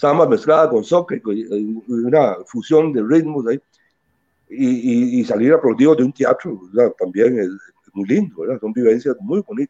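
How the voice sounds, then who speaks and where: Using a plain, everyday voice, a man speaks fairly slowly at a fairly high pitch with lively intonation. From Costa Rica, Caribbean coast (Limón). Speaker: musician and band leader. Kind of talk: interview.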